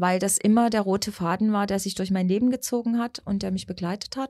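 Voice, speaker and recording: A woman at medium pitch with a normal speaking voice and ordinary pitch variation, on a very clean recording with a silent background. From Saxony, Radebeul near Dresden. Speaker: schlager singer. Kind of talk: interview.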